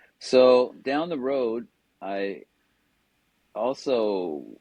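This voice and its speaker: The speaker is a man. He talks in a West Coast accent. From Southern California. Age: 70s. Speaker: wellness coach. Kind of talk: podcast interview storytelling. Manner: casual conversational.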